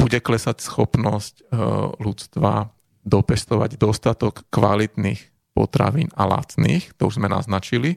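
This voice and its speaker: With a normal speaking voice, a man talks at a fairly slow pace and a fairly low pitch, his pitch varying in an ordinary way, in a dry, close sound with no echo. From Slovakia, Bratislava (Devínska Nová Ves). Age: 30s. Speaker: ecologist and climate scientist. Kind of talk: interview. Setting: studio.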